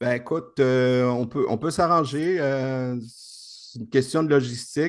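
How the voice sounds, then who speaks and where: A man speaking at a very slow pace, with big swings in loudness. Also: medium pitch for a man, ordinary pitch variation. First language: Spanish (speaking French). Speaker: investment program presenter. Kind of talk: video call presentation. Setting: video call.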